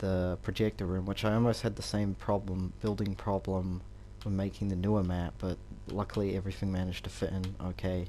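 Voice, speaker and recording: A man's very deep, low voice with a dark, mellow tone, flat monotone intonation and a fairly quick pace. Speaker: gaming YouTuber. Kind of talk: game walkthrough commentary. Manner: casual, hesitant with fillers.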